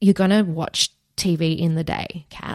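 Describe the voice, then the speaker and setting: Moderate pacing in an Australian accent with fairly even intonation, on a very clean recording with a silent background. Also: woman, dry, close sound with no echo. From Australia, Wagga Wagga NSW. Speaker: veterinary nurse and former lawyer. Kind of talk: interview about personal hardship.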